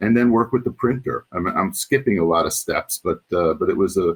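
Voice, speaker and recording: A man speaks at a moderate pace with a New York accent. The sound is dry and close, with no echo. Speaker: former journal editor and association past chair. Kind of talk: interview. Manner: halting, many fillers.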